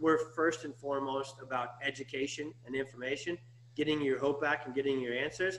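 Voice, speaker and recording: A man at a medium pitch, talking at a fairly quick pace with fairly even intonation. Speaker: chiropractor. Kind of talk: interview, promotional. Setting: live video stream. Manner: fast; halting, repeats words.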